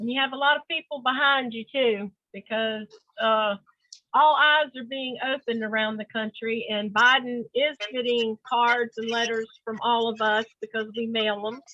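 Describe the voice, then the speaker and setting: A woman talks at a moderate pace in a fairly high pitch with fairly even intonation, a plain, everyday voice. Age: 60s. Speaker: book discussion host, activist. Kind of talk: casual discussion.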